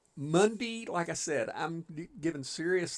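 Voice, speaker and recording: A man with a normal speaking voice, ordinary pitch variation and a fairly slow pace, on a very clean recording with a silent background. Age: 60s. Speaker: gaming livestreamer. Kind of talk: casual livestream chat. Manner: relaxed, folksy.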